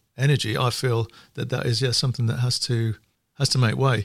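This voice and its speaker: In a northern English accent, a man talks at a fairly quick pace and medium pitch, somewhat breathy, with fairly even intonation. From northern England. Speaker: economist. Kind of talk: casual chat.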